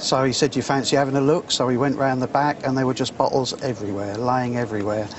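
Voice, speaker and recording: A man talks at a very fast pace with a medium pitch. Noticeable background noise sits behind him. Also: hardly any pauses. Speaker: bottle collector. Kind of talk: casual chat.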